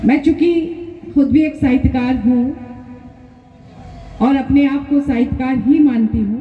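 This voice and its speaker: A woman speaks with a Bengali accent, her pitch high and her intonation fairly even. She pauses long and often, with noticeable background noise behind her. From Ranchi, Jharkhand, India. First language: Bengali (speaking Hindi). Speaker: writer and politician. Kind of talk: public speech.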